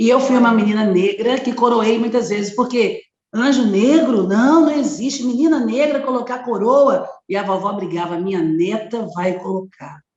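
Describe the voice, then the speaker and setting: A woman with a fairly high pitch speaks at a moderate pace with lively intonation, and audible room echo surrounds her. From Brazil, Belo Horizonte, Minas Gerais. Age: 50s. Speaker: activist and educator. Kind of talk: interview.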